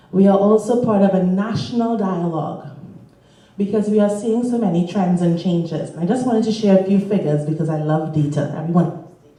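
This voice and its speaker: Amid noticeable background noise and audible room echo, a woman speaks fairly quickly at a medium pitch with ordinary pitch variation. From Caribbean. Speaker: panelist, charity network staff. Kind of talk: conference panel remarks.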